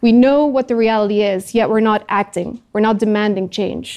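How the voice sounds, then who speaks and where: With a Dutch accent, a woman speaks at a moderate pace and fairly high pitch. Her tone is dark and mellow, and her intonation fairly even. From Netherlands. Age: 30s. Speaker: climate activist. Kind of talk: talk to audience.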